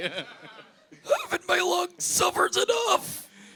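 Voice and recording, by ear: A man does a strained, put-on character voice at an extremely high pitch and a very slow pace.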